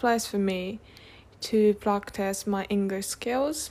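Here a woman speaks with a Japanese accent. Her pace is very slow. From Tokyo, Japan. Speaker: podcast host, language learner. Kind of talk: casual solo podcast monologue. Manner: halting, with self-corrections.

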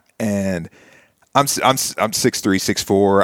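At a moderate pace and with an American accent, a man speaks in an ordinary speaking voice, fairly low in pitch, on a very clean recording with a silent background. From US South, Nashville, Tennessee. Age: 40s. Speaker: basketball referee, former college player. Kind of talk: interview, casual chat.

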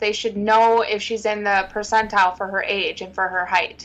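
A woman with a normal speaking voice, fairly high in pitch, at a moderate pace with fairly even intonation. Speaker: podcast co-host. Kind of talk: casual chat.

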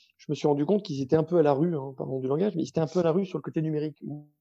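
Talking at a very fast pace, a man with a fairly high pitch and a dark, mellow tone shows big swings in loudness and ordinary pitch variation. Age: 30s. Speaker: startup co-founder. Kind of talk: interview. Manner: hesitant, many repetitions.

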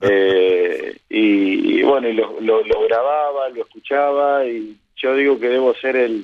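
A man talks at a medium pitch. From Argentina, Bragado (Buenos Aires province). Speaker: football radio commentator. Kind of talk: interview conversation. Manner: hesitant, many fillers and repetitions.

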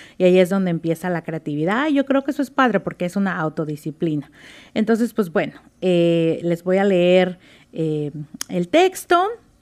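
The woman's voice is medium in pitch, on a very clean recording where the background is silent. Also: lively intonation, moderate pace. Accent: Mexican. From Mexico, Oaxaca. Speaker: writer and former lawyer. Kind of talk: reading aloud her own story; interview.

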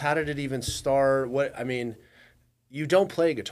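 A man's plain, everyday voice, fairly high in pitch, at a moderate pace with fairly even intonation. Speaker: podcast host. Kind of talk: casual interview chat.

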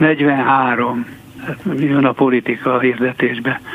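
There is noticeable background noise behind this man. His pitch is medium. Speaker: journalist. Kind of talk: radio interview. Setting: studio. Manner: halting.

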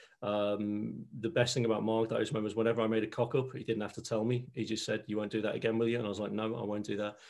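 A man with a Liverpool accent, medium pitch, very fast pace and monotone, flat intonation. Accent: Scouse (Liverpool). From Liverpool, England. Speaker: leadership trainer and NLP coach. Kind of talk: interview.

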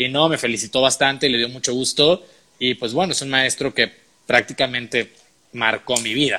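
A man talks at a moderate pace with a bright, sharp tone. His pitch is medium and his intonation stays fairly even. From Tamaulipas border region, Mexico / South Texas. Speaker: actor and writer. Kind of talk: interview.

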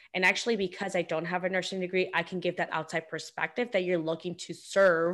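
A woman with a fairly low pitch talks at a very fast pace with hardly any pauses. Her intonation is monotone and flat, in a very clean recording with a silent background. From Guatemala. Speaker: career coach. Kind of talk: interview answers.

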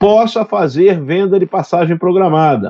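A man speaks with a high voice. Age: 60s. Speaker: aviation regulator director. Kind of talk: interview. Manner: halting.

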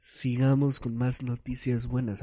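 Over a quiet background comes a man's dark, mellow tone. He speaks at a medium pitch and a fairly slow pace. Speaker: podcast host. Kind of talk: casual monologue. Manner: animated.

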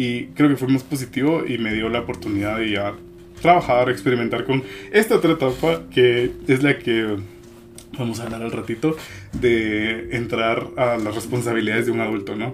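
A man with a medium-pitched voice talks, with noticeable noise behind him. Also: ordinary pitch variation, moderate pace. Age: 20s. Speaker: illustrator and graphic designer. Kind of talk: casual chat.

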